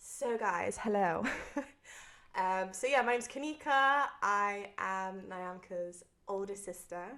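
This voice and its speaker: Someone with a Bristol accent speaks at a very slow pace in a bright, sharp tone. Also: woman, medium pitch for a woman, ordinary pitch variation. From Bristol, England. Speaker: podcast guest. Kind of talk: casual chat.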